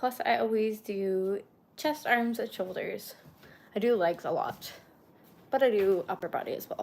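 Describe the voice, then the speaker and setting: Soft-spoken, fairly high female voice with lively intonation, moderate pace and long, frequent pauses. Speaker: lifestyle streamer. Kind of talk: casual live-stream chat.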